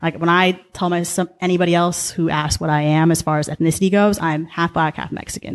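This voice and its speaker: With a Californian accent, the speaker talks in a monotone, flat intonation with hardly any pauses. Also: woman, fairly low pitch for a woman. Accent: Californian American. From Southern California, Orange County. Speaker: podcast guest. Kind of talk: casual interview chat. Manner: fast.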